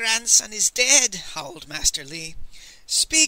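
This is a natural reading voice. The words are read in a natural way.

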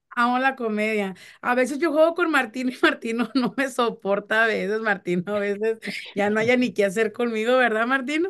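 Against a quiet background, a woman with a fairly high pitch speaks at a moderate pace in an animated tone with ordinary pitch variation. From Mexico (Chihuahua). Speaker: radio host. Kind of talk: casual chat.

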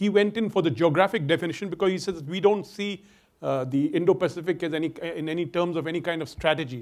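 Over a quiet background, a man with an Indian accent talks at a very fast pace in a high voice with ordinary pitch variation. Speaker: security scholar. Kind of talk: panel discussion. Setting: stage with audience. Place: stage. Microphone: lapel.

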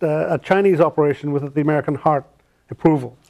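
Against a quiet background, a man with an Irish accent speaks at a fairly high pitch with ordinary pitch variation. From Ireland. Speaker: restaurateur, consultant. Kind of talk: interview answer. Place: studio. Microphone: lapel.

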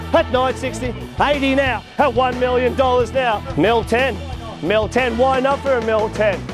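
Over clear music in the background, a man with an Australian accent talks at a moderate pace and an extremely high pitch with fairly even intonation, the sound dry with no echo. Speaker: real estate auctioneer. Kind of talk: auction calling. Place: garden.

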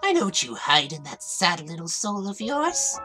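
In a cartoonish character voice that sounds female, the speaker moves at a fairly slow pace with very wide pitch swings while faint music plays in the background. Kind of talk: fan dub cartoon voice acting. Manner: mocking, menacing.

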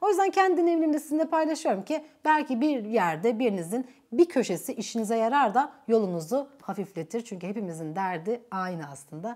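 Speech comes at a fairly quick pace with hardly any pauses and very wide pitch swings. The background is quiet. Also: woman, fairly high pitch for a woman. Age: 30s. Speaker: YouTuber. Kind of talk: casual chat. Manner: animated. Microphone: lapel.

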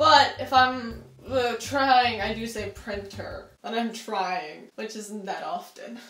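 A woman speaks with a playful tone and vocal fry at a very slow pace, with ordinary pitch variation. Her loudness swings widely, and the room echo is audible. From Pennsylvania. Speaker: vlogger. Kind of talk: casual talk to camera. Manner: chatty, playful. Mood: playful, amused.

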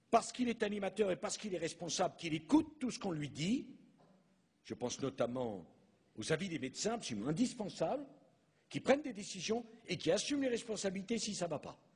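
With the background quiet, a man speaks very fast. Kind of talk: formal public speech. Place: hall. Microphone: podium.

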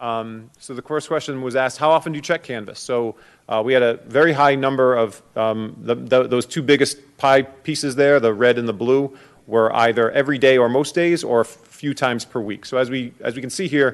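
Fairly quick delivery with fairly even intonation over a quiet background. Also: man, medium pitch for a man. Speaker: school administrator presenting to a school committee. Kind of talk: presentation to a committee meeting. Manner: fast.

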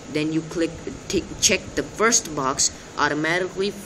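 With noticeable background noise behind him, a man with a non-native accent talks at a fairly slow pace, his fairly high pitch showing ordinary variation. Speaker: amateur tech tutorial maker. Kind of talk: screen-recording tech tutorial. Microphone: phone near.

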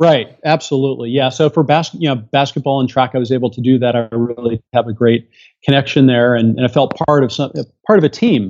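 At a fairly quick pace, a man with a normal speaking voice talks in an American accent. His pitch is medium, with ordinary variation. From raised overseas (Tehran, Beirut, Greece), then Seattle area. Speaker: astronaut and doctor. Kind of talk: interview.

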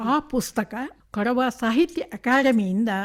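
On a very clean recording with a silent background, a woman speaks with a high pitch. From Kodagu, Karnataka. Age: 80s+. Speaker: retired Kannada lecturer and writer. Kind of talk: radio interview.

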